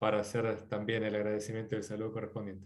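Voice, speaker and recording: A man at a very fast pace. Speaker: course coordinator. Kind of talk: closing remarks.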